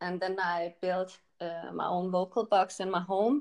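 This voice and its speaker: A woman with a Danish accent, medium pitch, at a very slow pace. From Denmark, countryside. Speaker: electropop singer and model. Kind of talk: interview.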